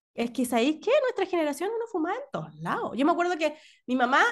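With a Chilean accent, a woman talks at a fairly quick pace over a quiet background. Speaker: podcast co-host. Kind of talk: casual chat.

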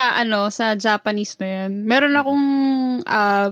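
Her pitch fairly high and her intonation fairly even, a woman speaks in a plain, everyday voice with a dry, close sound and no echo. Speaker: podcast co-host. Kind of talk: casual chat.

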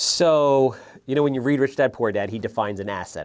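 Speaking at a very fast pace with lively intonation and a fairly low pitch, a man with an American accent comes through on a very clean recording with a silent background. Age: 40s. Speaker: real estate investor. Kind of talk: interview.

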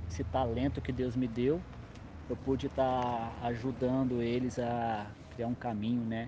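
At a fairly slow pace, a man talks in a medium-pitched, dark, mellow voice that is somewhat breathy. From interior of São Paulo state, Brazil. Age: 20s. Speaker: hip hop dance choreographer. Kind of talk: casual interview.

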